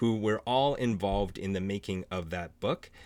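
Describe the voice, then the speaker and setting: Speaking in a Canadian accent, a man has a plain, everyday voice pitched fairly low. He talks at a fairly quick pace. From small French Canadian town. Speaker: author and panel moderator. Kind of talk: virtual panel hosting. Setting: Zoom video call.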